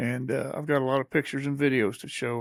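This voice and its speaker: In a very clean recording with a silent background, a man with an Ozarks accent talks at a very fast pace. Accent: Missouri Ozarks American. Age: 70s. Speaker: podcast host and veteran. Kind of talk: casual chat.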